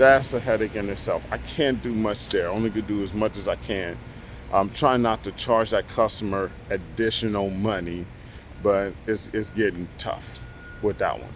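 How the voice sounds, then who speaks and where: Speaking at a moderate pace, a man uses a normal speaking voice, fairly low, with ordinary pitch variation. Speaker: construction contractor and vlogger. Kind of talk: casual vlog update.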